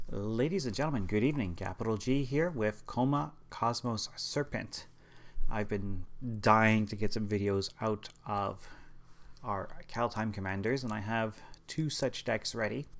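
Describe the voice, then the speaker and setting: This man is soft-spoken. He uses a medium pitch with ordinary pitch variation. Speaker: card game deck reviewer. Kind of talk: tutorial.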